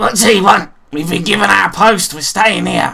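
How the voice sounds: Someone puts on a raspy character voice at a middle pitch, speaking at a moderate pace.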